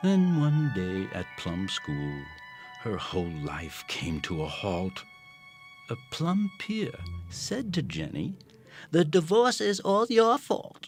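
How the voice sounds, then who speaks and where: Very slow male speech accompanied by background music. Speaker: voice actor. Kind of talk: rhyming story narration for animation. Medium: cartoon.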